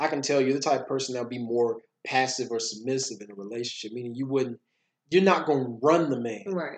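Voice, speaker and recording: Very fast and at medium pitch, a man with an American accent speaks with ordinary pitch variation and big swings in loudness. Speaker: podcast host and motivational speaker. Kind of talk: casual conversation podcast discussion.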